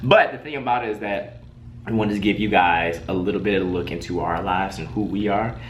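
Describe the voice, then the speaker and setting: A man with an American accent talks at a fairly quick pace in a fairly low voice, his tone animated, with audible room echo around him. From Detroit, US Midwest. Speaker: web show co-host. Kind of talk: casual chat.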